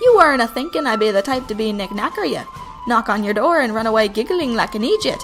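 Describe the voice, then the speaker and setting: Over clear background music, a woman puts on a character voice, fairly high in pitch and very fast in pace. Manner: lilting.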